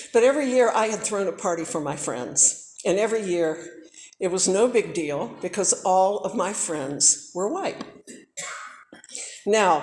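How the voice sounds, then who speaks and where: With an American accent, a woman speaks at a moderate pace and medium pitch with lively intonation. Audible room echo surrounds her. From US South. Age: 60s. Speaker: civil rights era witness. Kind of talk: talk to students. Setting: church.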